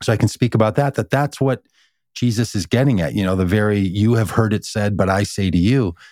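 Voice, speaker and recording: A man with a plain, everyday voice speaks at a fairly quick pace and fairly low pitch, with ordinary pitch variation. The sound is dry and close with no echo, on a very clean recording with a silent background. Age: 50s. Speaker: pastor and author. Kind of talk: casual chat.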